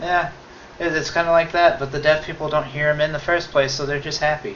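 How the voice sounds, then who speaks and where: Over noticeable background noise, the speech moves at a fairly quick pace in a monotone, flat intonation. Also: man, fairly high pitch for a man. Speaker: video co-host. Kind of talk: casual chat. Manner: rambling.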